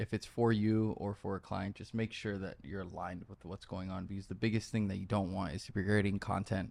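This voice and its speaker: A man's fairly quick delivery in a plain, everyday voice, fairly even intonation, on a very clean recording with a silent background. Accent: American. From Miami, Florida. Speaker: content creator. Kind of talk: casual chat.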